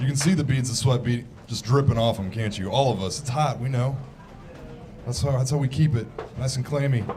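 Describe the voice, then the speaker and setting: A man speaking at a moderate pace, with audible room echo and music in the background. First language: Farsi. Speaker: stand-up comedian. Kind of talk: stand-up. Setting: stage with audience.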